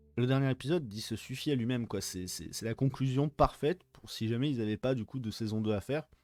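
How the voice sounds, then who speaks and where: On a very clean recording with a silent background and a dry, close sound with no echo, a man talks at a very fast pace with hardly any pauses, his medium pitch showing ordinary variation. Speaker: film and series reviewer. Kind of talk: casual video review. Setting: unusual location, not usual set. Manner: soft-spoken; hesitant, many fillers.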